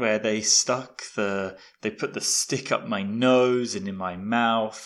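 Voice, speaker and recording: Very slowly, a man speaks. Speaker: podcast host, English teacher. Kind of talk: podcast monologue for English learners. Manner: clear, learner-friendly.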